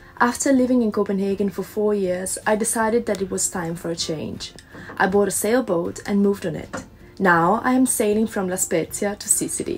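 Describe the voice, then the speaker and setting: A woman with an Italian accent at a fairly quick pace, faint music in the background. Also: ordinary pitch variation. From Italy. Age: 20s. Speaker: live-aboard sailor. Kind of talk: casual vlog narration.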